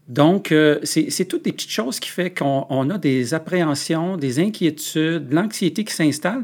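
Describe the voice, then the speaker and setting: Speaking at a fairly slow pace, a man with a fairly high pitch uses lively intonation in a very clean recording with a silent background. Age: 50s. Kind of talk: interview. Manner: halting.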